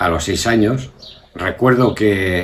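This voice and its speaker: A man talks at a very slow pace, with ordinary pitch variation. Noticeable background noise sits behind him. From Spain, Burgos (Castile). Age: 70s. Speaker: grandfather interviewed about his life. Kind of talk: family oral history interview. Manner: hesitant, with many fillers and repetitions.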